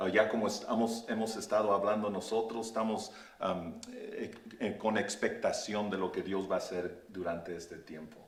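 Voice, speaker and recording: With an English accent, a man speaks at a fairly slow pace, with audible room echo and noticeable background noise. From Oakland, California, US. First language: English (speaking Spanish). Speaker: pastor. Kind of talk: interview. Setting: Facebook live stream. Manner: halting.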